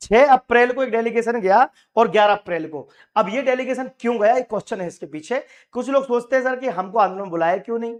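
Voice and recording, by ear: A man's extremely high-pitched voice, with ordinary pitch variation and a fairly quick pace.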